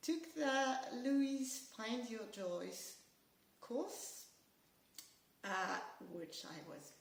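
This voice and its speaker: A woman with a French accent speaks at a very slow pace with lively intonation, and audible room echo surrounds her voice. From France. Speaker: amateur painter. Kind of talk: studio tour video. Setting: home studio and garden. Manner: hesitant, many fillers.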